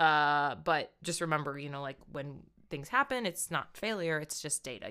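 A woman's fairly low voice, bright and sharp in tone, animated, at a moderate pace. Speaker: fitness and nutrition coach. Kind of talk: casual podcast chat. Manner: laughs often, animated.

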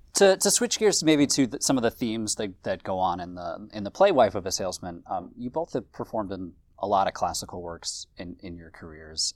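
In a very clean recording with a silent background, a man speaks quickly enough, at a fairly quick pace and fairly low pitch, in a plain, everyday voice. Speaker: theater artistic director, podcast host. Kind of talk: interview conversation.

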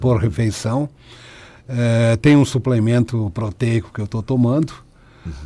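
A somewhat breathy man talks at a fairly slow pace. He leaves long, frequent pauses and uses ordinary pitch variation. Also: medium pitch for a man. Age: 50s. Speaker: patient, sales representative. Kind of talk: radio interview.

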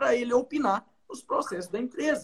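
Lively intonation at a moderate pace. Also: man. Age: 20s. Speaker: pharmacist. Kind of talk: live stream talk on leadership. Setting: video call live stream.

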